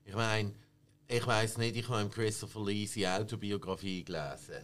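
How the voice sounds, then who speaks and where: A man has an unremarkable speaking voice with fairly low pitch. He speaks at a moderate pace with fairly even intonation. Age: 50s. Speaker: film expert. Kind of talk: casual chat.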